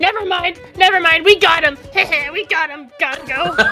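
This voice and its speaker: A woman uses a put-on character voice at an extremely high pitch, with music clearly audible in the background. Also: moderate pace. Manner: goblin voice, imitating a heard voice.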